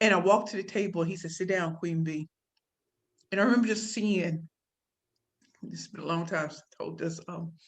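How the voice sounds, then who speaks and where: Delivery is fairly quick yet broken by long, frequent pauses, with big swings in loudness. The voice is somewhat breathy and the intonation fairly even. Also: woman, fairly low pitch for a woman. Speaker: keynote speaker and business pitch coach. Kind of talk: interview storytelling.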